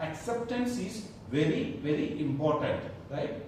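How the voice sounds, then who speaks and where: A man swings his pitch very widely while speaking at a fairly slow pace, with audible room echo and noticeable background noise around him. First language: Malayalam. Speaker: corporate trainer. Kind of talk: workplace training session. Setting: training room with live audience.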